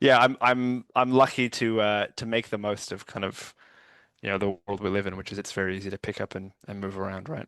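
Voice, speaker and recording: A man speaks in an ordinary speaking voice, fairly low in pitch, at a fairly quick pace. The sound is dry and close with no echo, over a quiet background. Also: fairly even intonation. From Canada. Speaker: writer and poet, lawyer by profession. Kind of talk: interview conversation.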